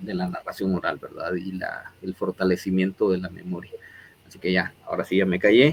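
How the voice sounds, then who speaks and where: Very deep and low, a man's voice keeps a fairly even intonation while swinging widely in loudness. Noticeable background noise sits behind him. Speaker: interview show host. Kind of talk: interview closing remarks. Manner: hesitant, many fillers.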